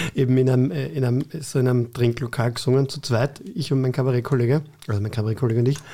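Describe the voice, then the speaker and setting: A man with an unremarkable speaking voice talks at a fairly quick pace, his medium pitch showing ordinary variation. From Vienna, Austria (Floridsdorf). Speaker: cabaret artist and teacher. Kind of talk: casual interview chat.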